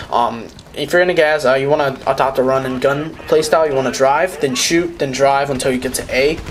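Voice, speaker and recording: The speech moves at a fairly quick pace with hardly any pauses. Noticeable background noise runs beneath it. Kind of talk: tutorial. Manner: fast; halting, stumbling.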